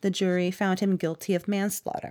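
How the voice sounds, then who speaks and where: A woman speaks at a moderate pace and a medium pitch. Hers is an unremarkable speaking voice. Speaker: podcast host. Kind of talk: scripted narration with casual banter.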